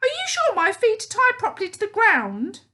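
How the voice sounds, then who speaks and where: Using a put-on character voice, a woman squeaks at an extremely high pitch with lively intonation, big swings in loudness and a moderate pace. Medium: read story. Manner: shrill, gasping.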